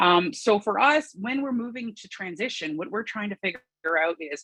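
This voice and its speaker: A woman with a Canadian accent, fairly quick pace and very wide pitch swings. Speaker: farmer. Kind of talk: conference presentation. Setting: video call. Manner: fast.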